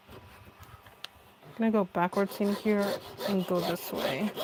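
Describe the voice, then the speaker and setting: Soft-spoken, a woman talks at a medium pitch with fairly even intonation. There is noticeable background noise. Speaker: craft live streamer. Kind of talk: live stream tutorial.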